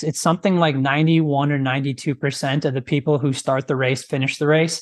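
A man with an American accent, fairly high in pitch, at a fairly quick pace, over a quiet background. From rural US Midwest. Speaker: fitness trainer and former physical therapist. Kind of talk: interview.

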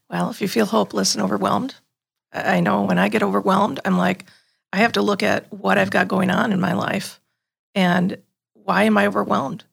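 This woman has a Wisconsin accent. Her pace is fairly quick. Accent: Upper Midwest (Wisconsin). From Green Bay, Wisconsin. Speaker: program facilitator and home herbalist. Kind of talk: casual faith-based conversation. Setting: studio.

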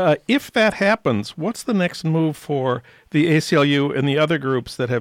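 A man with an American accent has a plain, everyday voice at a fairly high pitch. His intonation is lively, his pace moderate, and the sound dry and close with no echo. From US Midwest, St. Paul, Minnesota. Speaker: radio host. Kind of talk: radio interview. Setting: radio studio.

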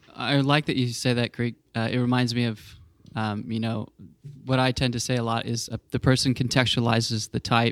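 A man with a Southern US accent speaks at medium pitch and a moderate pace. His intonation is monotone and flat, and the sound is dry and close with no echo. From US South. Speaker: podcast host. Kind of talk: casual chat.

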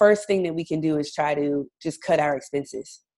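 A woman with an American accent and a plain, everyday voice, at a moderate pace with fairly even intonation. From US South, North Carolina. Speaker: English teacher and debt-free blogger. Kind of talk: interview. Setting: remote call.

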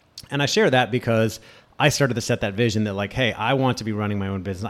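A man speaks very fast at a medium pitch, with ordinary variation in his pitch. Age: 40s. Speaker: podcast host and career coach. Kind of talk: solo podcast monologue. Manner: casual, with many fillers.

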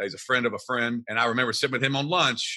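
A man talks very fast with a Kentucky accent. His tone is bright and sharp. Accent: Kentucky Southern US. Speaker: real estate investor. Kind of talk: interview.

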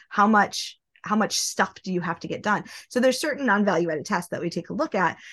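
A woman with an American accent talks at a very fast pace, her pitch medium and her intonation lively. The background is quiet. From US Midwest, small-town Nebraska. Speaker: industrial engineer, business consultant. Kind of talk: podcast interview.

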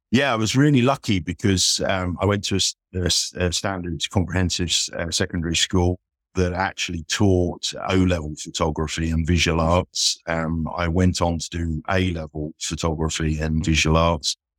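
A man's very deep, low voice at a moderate pace, in a dry, close sound with no echo, on a very clean recording with a silent background. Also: ordinary pitch variation, hardly any pauses. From Isle of Wight. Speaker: commercial photographer. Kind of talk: casual interview conversation. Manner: hesitant, fillers.

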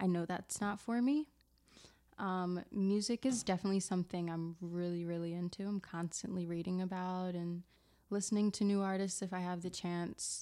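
A dark, mellow tone with an American accent, fairly even intonation and a moderate pace. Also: woman. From South Jersey, Camden, New Jersey. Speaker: yoga studio front desk worker. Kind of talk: casual chat.

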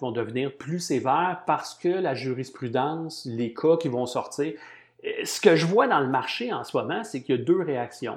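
Against a quiet background, a man speaks with fairly high pitch. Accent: Quebec. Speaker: marketing and analytics consultant and lecturer. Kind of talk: interview conversation. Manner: hesitant, many fillers and repetitions.

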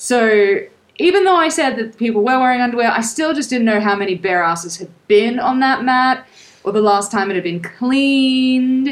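The speech moves at a moderate pace. The woman speaking has lively intonation. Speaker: travel podcast co-host. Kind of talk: casual chat. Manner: lively, laughing.

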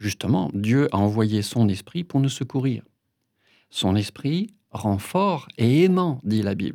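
A man at medium pitch, very slow in pace yet lively in intonation, on a very clean recording with a silent background. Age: 60s. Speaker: pastor. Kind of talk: interview and spoken meditation.

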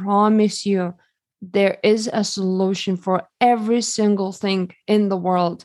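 There is a quiet background behind a woman speaking with a Lithuanian accent. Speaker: holistic health expert. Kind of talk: interview.

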